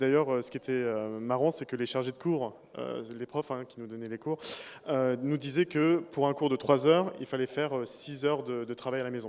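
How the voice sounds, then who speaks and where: At a moderate pace, a man speaks in a plain, everyday voice of medium pitch. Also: fairly even intonation. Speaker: former student. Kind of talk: interview.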